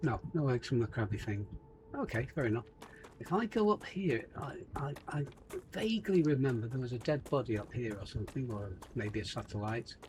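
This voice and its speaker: A man with an English accent speaks at a fairly quick pace in a medium pitch, his intonation lively. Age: 70s. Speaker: gaming YouTuber. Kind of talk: gameplay commentary. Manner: casual, chatty.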